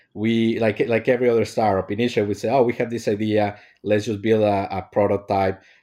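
A man with a dark, mellow tone and fairly low pitch speaks at a fairly quick pace in a flat, monotone delivery. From Mexico. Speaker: startup co-founder. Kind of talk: interview. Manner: hesitant, many fillers.

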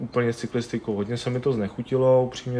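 Noticeable background noise behind a fairly quick-paced male speaker. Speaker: CrossFit athlete and coach. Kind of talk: interview.

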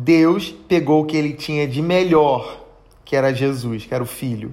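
With audible room echo, a man talks in an animated tone. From Brazil, Rio de Janeiro. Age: 30s. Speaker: podcast preacher. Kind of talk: sermon.

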